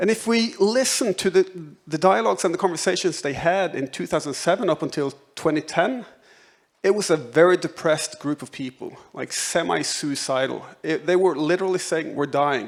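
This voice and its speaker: A man speaks with a high pitch and lively intonation. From Norway. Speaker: professor. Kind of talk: conference talk. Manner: fast when excited; hesitant, repeats words.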